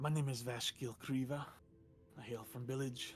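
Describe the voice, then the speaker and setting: Putting on a character voice, a man speaks at medium pitch and a moderate pace in a monotone, flat intonation over clear background noise. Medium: actual play. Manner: terse, deadpan.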